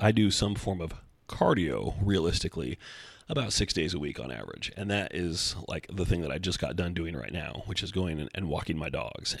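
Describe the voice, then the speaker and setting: A man puts on a raspy character voice, pitched very deep and low, and speaks at a moderate pace. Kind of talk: casual, conversational.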